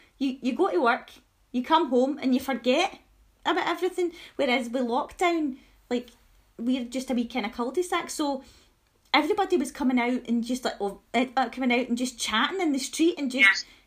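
Speaking fairly quickly but with long, frequent pauses, a woman with a Scottish accent has high pitch and ordinary pitch variation. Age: 30s. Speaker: podcast host. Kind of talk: casual chat.

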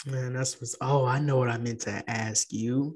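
A man's somewhat breathy, medium-pitched voice at a fairly slow pace, with fairly even intonation. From San Antonio, Texas. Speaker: podcast host. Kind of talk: casual interview.

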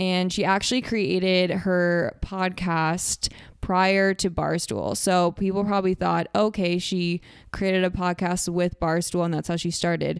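A woman at medium pitch, fairly slow and monotone, with flat intonation, on a very clean recording with a silent background. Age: 20s. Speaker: podcast host, former reality show contestant. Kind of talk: casual interview chat; podcast intro and outro monologue. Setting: office.

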